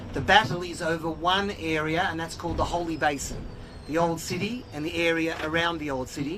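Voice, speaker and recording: Over noticeable background noise and audible room echo, a man with an Australian accent talks fairly quickly in a high voice with fairly even intonation. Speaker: organization executive and spokesperson. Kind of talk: guided tour talk.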